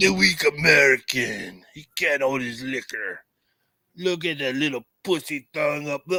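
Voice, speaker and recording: A man puts on a raspy character voice, pitched fairly high for a man, speaking at a moderate pace with big swings in loudness. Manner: mocking, taunting.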